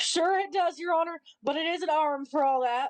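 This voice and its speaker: A woman's put-on character voice, extremely high and fairly quick, with a dry, close sound and no echo. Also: ordinary pitch variation. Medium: stage play. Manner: deferential, saying 'Your Honor'.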